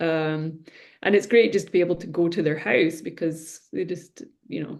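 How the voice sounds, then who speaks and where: Speaking with a Scottish accent, a woman has a fairly low pitch. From Scotland. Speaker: reflexologist. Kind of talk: interview answer.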